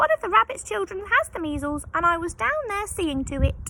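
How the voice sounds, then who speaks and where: Squeaky and extremely high-pitched, a woman performs a put-on character voice. She talks at a fairly quick pace with very wide pitch swings. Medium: read story. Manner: fussy, chatty.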